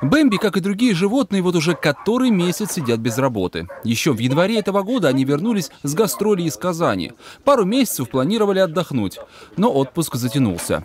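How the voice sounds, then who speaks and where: At a fairly quick pace, a man with a high pitch speaks in very wide pitch swings. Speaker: TV news reporter. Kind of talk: news reading. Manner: formal.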